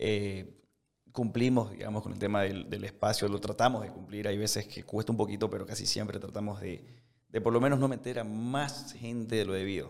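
Using an ordinary speaking voice, a man talks at a fairly quick pace with a fairly low pitch. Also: fairly even intonation. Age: 20s. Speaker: restaurant entrepreneur. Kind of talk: casual interview.

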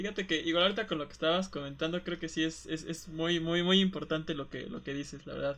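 This man's voice is fairly high-pitched and bright, with a sharp tone. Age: 20s. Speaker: podcast co-host. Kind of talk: casual chat. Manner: halting.

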